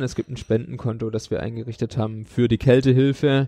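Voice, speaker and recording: Speaking at a moderate pace, a man has a medium pitch, a dark, mellow tone and monotone, flat intonation, captured with a dry, close sound and no echo. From Baden-Württemberg, village. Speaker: homeless outreach coordinator. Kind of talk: interview. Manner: hesitant fillers.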